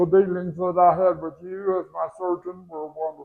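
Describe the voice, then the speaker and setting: Speaking at a fairly slow pace, a man holds a monotone, flat intonation in a high pitch. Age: 80s+. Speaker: surgical patient giving testimonial. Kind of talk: testimony. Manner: halting, many fillers and repeats.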